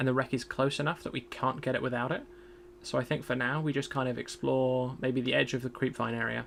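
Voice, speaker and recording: The voice is monotone, with flat intonation and vocal fry. It moves at a very fast pace. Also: man, medium pitch for a man. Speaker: gaming streamer. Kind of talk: live gameplay commentary. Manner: loud; halting, repeats words.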